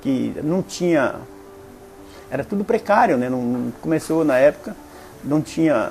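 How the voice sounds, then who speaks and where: A man's fairly slow speech with very wide pitch swings, amid noticeable background noise. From western Paraná, Brazil. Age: 60s. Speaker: local elder interviewee. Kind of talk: oral history testimony. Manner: halting, with many fillers.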